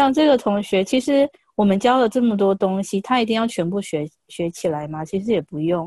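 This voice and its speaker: A woman speaks at a fairly quick pace with lively intonation, a medium pitch, and a dark, mellow tone. The sound is dry and close, with no echo. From Taiwan. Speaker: Chinese language teacher. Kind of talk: casual chat. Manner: halting.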